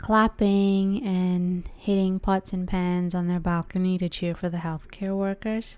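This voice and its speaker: In a Canadian accent, a woman speaks at medium pitch and a fairly slow pace with monotone, flat intonation, recorded very cleanly against a silent background. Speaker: counsellor. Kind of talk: podcast monologue. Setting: indoors by window, street noise. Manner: casual, conversational.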